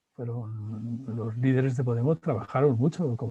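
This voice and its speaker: At a fairly slow pace, a man with a medium pitch speaks in a dark, mellow, somewhat breathy tone over a quiet background. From Spain. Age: 60s. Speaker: philosopher and professor. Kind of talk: interview.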